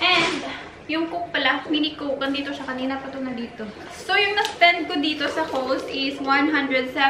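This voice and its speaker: A woman speaks in a raised, projected voice at a moderate pace, with noticeable background noise. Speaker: vlogger. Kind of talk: casual vlog chat. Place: kitchen. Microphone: camera far.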